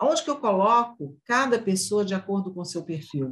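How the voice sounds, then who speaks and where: Against a quiet background, a woman talks fairly slowly at medium pitch, her somewhat breathy voice making very wide pitch swings. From Brazil, northern Minas Gerais. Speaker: civil engineer and construction industry association president. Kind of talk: interview.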